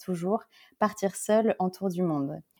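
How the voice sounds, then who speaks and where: A woman speaks at a moderate pace in a medium pitch with a dark, mellow tone. The recording is very clean with a silent background. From Paris, France. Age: 30s. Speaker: solo traveler and freelance digital communications worker. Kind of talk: interview conversation. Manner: halting, with many repetitions and fillers.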